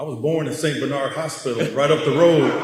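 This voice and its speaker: The speaker has an American accent, with noticeable background noise and audible room echo. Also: man. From Chicago, US Midwest. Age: 60s. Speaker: former pro basketball player. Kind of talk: ceremony speech.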